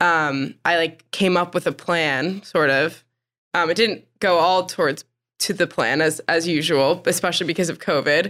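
A woman with an American accent and an ordinary speaking voice, fairly low in pitch with ordinary pitch variation, at a moderate pace and very even loudness, in a very clean recording with a silent background. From New Jersey. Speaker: intern and podcast interviewer. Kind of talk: casual interview chat.

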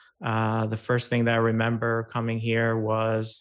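In an Albanian accent, a man speaks at medium pitch and a moderate pace with monotone, flat intonation. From Albania, rural farm town. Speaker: ed tech founder and CEO. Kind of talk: interview. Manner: halting, many fillers.

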